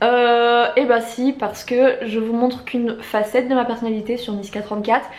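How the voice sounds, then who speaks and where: Amid noticeable background noise and audible room echo, a woman with a high pitch speaks at a moderate pace in a monotone, flat way, with hardly any pauses. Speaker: YouTuber and novelist. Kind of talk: casual vlog talk. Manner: loud, shouty; hesitant with filler.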